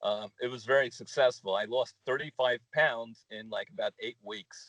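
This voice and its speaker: A man talks at a moderate pace. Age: 60s. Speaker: small business owner. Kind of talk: interview. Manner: halting, many fillers.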